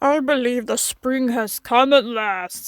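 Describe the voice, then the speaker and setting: A female-sounding voice performs a put-on character voice, high in pitch and at a fairly slow pace. The recording is very clean against a silent background. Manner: wistful, delighted.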